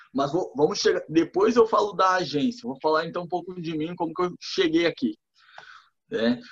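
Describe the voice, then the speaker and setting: A man with a high pitch, moderate pace and lively intonation. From Rio Grande do Sul, Brazil (Torres). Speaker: digital marketing entrepreneur. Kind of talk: casual chat.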